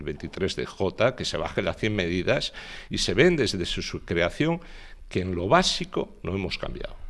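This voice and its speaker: A man's normal speaking voice, fairly low in pitch, at a moderate pace. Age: 60s. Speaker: politician. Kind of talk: interview.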